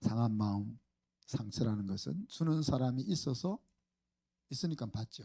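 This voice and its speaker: A man at medium pitch speaks in a dark, mellow, somewhat breathy tone with lively intonation. He goes at a fairly slow pace, leaving long, frequent pauses. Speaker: pastor. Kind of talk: sermon. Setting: church. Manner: animated.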